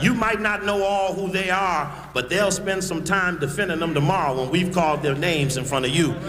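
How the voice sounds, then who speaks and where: At a fairly quick pace, a man with a high pitch talks amid audible room echo and noticeable background noise. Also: ordinary pitch variation. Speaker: activist speaker. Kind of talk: public speech. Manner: fast; animated.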